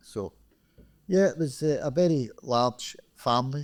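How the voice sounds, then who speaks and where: A man's dark, mellow tone in a Glaswegian accent. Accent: Glaswegian Scottish. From Scotland, Glasgow (Springburn). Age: 60s. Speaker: retired credit union chief executive. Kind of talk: podcast interview. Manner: halting, with repetitions.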